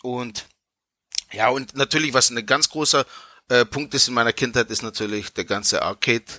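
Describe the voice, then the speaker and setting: A man speaks at a moderate pace in a bright, sharp tone with fairly even intonation and long, frequent pauses. His voice sounds dry and close, without echo. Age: 40s. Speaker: podcast co-host. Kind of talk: casual chat. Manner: halting.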